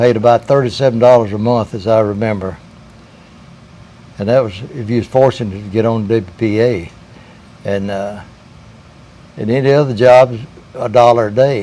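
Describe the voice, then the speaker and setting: Moderate-paced, fairly evenly intoned speech from a medium-pitched man, with long, frequent pauses and noticeable background noise. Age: 90s. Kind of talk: interview answer, personal recollection.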